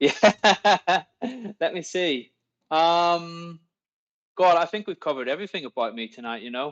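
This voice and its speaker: A high-pitched man speaks with lively intonation and big swings in loudness. He leaves long, frequent pauses against a quiet background. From Northern Ireland. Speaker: dentist and investor. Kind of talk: casual interview chat. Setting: live online podcast. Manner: hesitant, repeats words.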